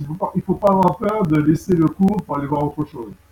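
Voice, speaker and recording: The speech has ordinary pitch variation and noticeable background noise. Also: man. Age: 60s. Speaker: bass student. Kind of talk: testimony. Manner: halting.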